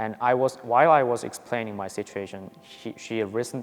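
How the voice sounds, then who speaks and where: With a Korean accent, the speaker keeps a moderate pace and ordinary pitch variation. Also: man. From South Korea. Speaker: university student. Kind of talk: testimony. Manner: halting.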